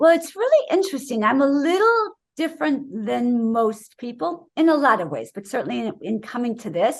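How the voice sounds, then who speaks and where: Speaking at a moderate pace, a woman uses a high pitch with very wide pitch swings. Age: 60s. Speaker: wellness author, raw vegan doctor. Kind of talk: interview. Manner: animated.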